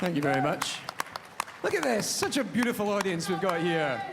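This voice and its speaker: A very fast-talking man with a Scottish accent and ordinary pitch variation, amid noticeable background noise. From Scotland. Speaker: panel host. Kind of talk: live stage hosting. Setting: live theatre stage.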